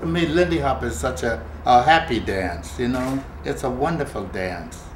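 A man talks at a moderate pace with very wide pitch swings. The room echo is audible, with light background noise. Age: 80s+. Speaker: swing dancer. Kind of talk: interview answer. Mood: warm, smiling, nostalgic. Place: home room.

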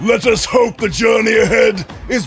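Over clear music in the background, a man shouts at a fairly slow pace. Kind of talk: fire-and-brimstone sermon. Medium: voice reel. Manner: fervent, shouting, pompous.

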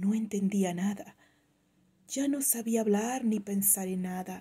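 A woman speaks very slowly in a somewhat breathy, dark, mellow tone. Her pitch is medium, with ordinary variation. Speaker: poetry reader. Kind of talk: poem reading, read aloud with wistful, intimate delivery. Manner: slow, reflective, wistful.

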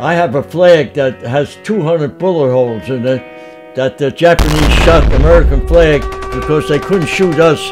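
A fairly high-pitched man at a fairly slow pace, with clear music in the background. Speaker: World War II navy veteran. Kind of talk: interview answer. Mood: earnest, reliving a frightening memory. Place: home room.

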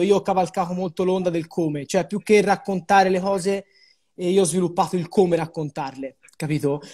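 A moderate pace in a Florentine accent, ordinary pitch variation, and a quiet background. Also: man. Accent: Florentine Tuscan Italian. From Florence, Tuscany. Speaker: web video creator, city guide. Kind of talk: casual chat. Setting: Instagram live video call. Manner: animated. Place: home room.

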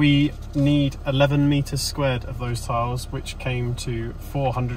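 Light background noise sits behind a man speaking at a moderate pace. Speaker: renovation vlogger. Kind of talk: casual vlog chat. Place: car. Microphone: phone near.

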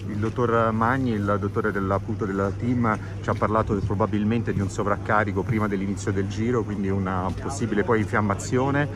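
A man speaks at a fairly quick pace and a fairly low pitch, his intonation flat and monotone. Noticeable background noise is present. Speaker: sports reporter. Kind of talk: interview questions. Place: open country. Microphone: phone near.

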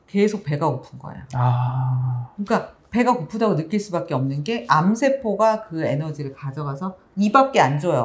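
A woman's very deep, low voice, somewhat breathy, with very wide pitch swings, a moderate pace and hardly any pauses. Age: 50s. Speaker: pharmacist and author, cancer survivor; guest. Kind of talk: interview. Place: studio. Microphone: lapel.

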